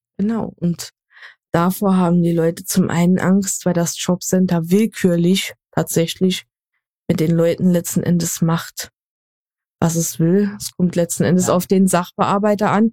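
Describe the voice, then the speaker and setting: A woman with a Saarland accent, a dark, mellow tone, and fairly low pitch, at a fairly slow pace with fairly even intonation, in a dry, close sound with no echo. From Saarland, Germany. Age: 20s. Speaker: podcast co-host. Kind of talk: casual discussion.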